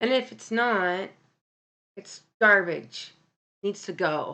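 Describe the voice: Bright and sharp in tone, a woman speaks at a medium pitch. Her pace is slow and her intonation lively.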